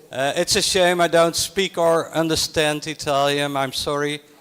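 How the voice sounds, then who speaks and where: A man's fairly high-pitched voice in a Dutch accent, with fairly even intonation at a moderate pace. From Netherlands. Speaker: literacy program representative. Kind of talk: conference presentation.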